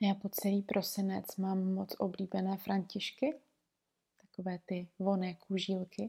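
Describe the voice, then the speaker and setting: A woman's dark, mellow, somewhat breathy voice at medium pitch, calm in tone, flat and monotone, at a fairly slow pace. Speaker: podcast host, aromatherapist and herbalist. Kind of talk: reflective solo monologue. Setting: recording at home in bed. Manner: very slow.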